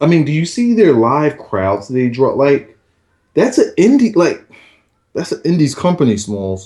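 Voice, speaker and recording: Loud and fairly slow, a man speaks with a fairly high pitch, very wide pitch swings and a dark, mellow tone. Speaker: wrestling podcast co-host. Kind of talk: casual chat. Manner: animated.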